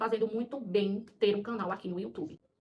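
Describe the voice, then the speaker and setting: A woman speaks with a strong Paraíba accent. Her pitch is fairly high and her intonation fairly even. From Paraíba, northeast Brazil. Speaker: schoolteacher and mother of four, video creator. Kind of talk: personal vlog monologue. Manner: hesitant, with many fillers.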